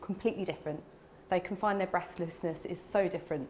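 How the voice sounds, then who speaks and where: Against noticeable background noise, a woman speaks at a medium pitch. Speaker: respiratory physiotherapist. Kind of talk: health talk to a live audience. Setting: room with live audience. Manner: fast.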